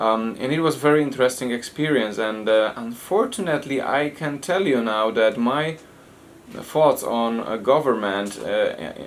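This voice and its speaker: A man's medium-pitched voice at a moderate pace with ordinary pitch variation, plus noticeable background noise. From Poland. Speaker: foundation president. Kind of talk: interview. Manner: halting.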